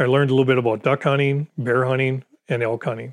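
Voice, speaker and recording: A man with a medium pitch and an Upper Peninsula Michigan accent, at a fairly quick pace. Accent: Upper Peninsula Michigan (Yooper). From Michigan Upper Peninsula (Gladstone). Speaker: retired veteran and hunter. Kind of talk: interview storytelling.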